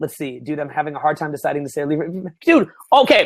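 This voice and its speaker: An animated man with a Canadian accent and lively intonation. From Canada (Ontario). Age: 30s. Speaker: dating coach. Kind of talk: webinar Q&A.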